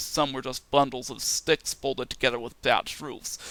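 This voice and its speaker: A man talks at a fairly quick pace and medium pitch, his tone bright and sharp, with vocal fry and monotone, flat intonation. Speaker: interview guest, indie rapper. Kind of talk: interview, recounting a dream. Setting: podcast recording.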